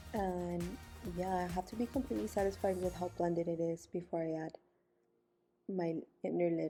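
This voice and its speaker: Over music in the background, a woman with a fairly low pitch speaks at a moderate pace with ordinary pitch variation and long, frequent pauses. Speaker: beauty vlogger. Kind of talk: makeup tutorial voiceover.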